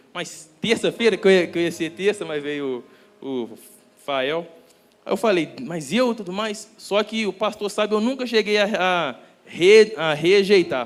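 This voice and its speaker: Here a man speaks at a fairly slow pace with a high pitch. His intonation is lively. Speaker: preacher. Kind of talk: sermon. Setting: church. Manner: halting.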